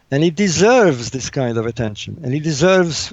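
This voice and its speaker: A man's voice with very wide pitch swings at a fairly quick pace. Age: 60s. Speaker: author and engineer. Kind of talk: interview. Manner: animated; repetitive stammering.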